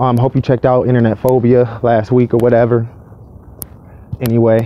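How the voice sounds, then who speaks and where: A man talks at a fairly quick pace with monotone, flat intonation. His loudness stays very even throughout. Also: medium pitch for a man. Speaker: vlogger. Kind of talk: casual rant. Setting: outdoors, walking to work. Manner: not too loud.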